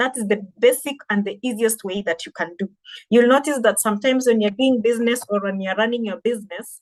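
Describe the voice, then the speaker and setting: Speaking in a Kenyan accent, a woman with a fairly high pitch moves at a fairly quick pace with ordinary pitch variation. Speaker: digital marketing trainer. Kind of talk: webinar presentation.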